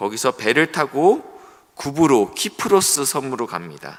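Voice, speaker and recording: A man's medium-pitched voice with a bright, sharp tone and vocal fry, very wide pitch swings, at a moderate pace. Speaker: pastor. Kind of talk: sermon.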